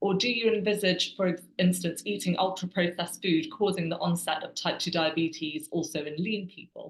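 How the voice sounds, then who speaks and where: Somewhat breathy, the speaker keeps a fairly quick pace with hardly any pauses and ordinary pitch variation. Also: woman, fairly low pitch for a woman. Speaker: webinar moderator. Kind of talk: reading audience questions. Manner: fast.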